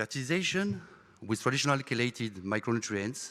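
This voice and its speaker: A man talks at a medium pitch with a bright, sharp tone. The recording is very clean, with a silent background. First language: French. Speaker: product manager presenter. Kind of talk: conference presentation.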